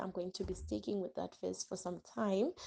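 A soft-spoken woman talks in a dark, mellow tone. The background is quiet. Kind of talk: Bible teaching talk.

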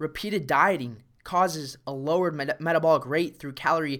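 Recorded very cleanly against a silent background, this is an ordinary speaking voice. It goes at a fairly quick pace with ordinary pitch variation. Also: man. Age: 20s. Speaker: fitness coach and podcast host. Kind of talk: solo motivational monologue.

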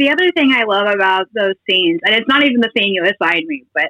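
A woman with an unremarkable speaking voice talks at a medium pitch with lively intonation in an American accent. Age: 30s. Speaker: newspaper editor. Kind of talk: casual chat.

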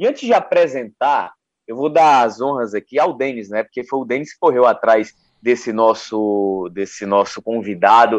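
Against a quiet background, a man speaks at a fairly slow pace with ordinary pitch variation and big swings in loudness. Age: 20s. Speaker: sports radio host. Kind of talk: interview. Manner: animated.

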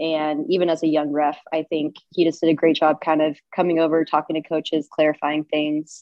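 A woman talks with an American accent in a very deep, low pitch and a monotone, flat intonation. Her pace is moderate, with hardly any pauses. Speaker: water polo official and teacher. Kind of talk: casual interview.

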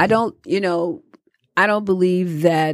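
A woman at a fairly slow pace with an American accent and ordinary pitch variation. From Detroit, Michigan. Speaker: community activist. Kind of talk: casual interview.

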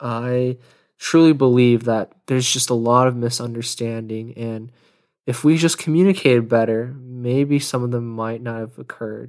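In an unremarkable speaking voice with an American accent, a man talks at a moderate pace and medium pitch with fairly even intonation, on a very clean recording with a silent background. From Texas, Pearland near Houston. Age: 20s. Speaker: podcast host, finance professional. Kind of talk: solo podcast monologue. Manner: casual, with frequent laughs.

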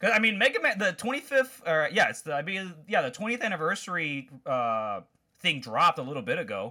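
A man's raised, projected voice with an American accent, high in pitch with very wide pitch swings, bright and sharp in tone, at a fairly quick pace, in a very clean recording with a silent background. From Chicago, US Midwest. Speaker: podcast co-host. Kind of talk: casual chat.

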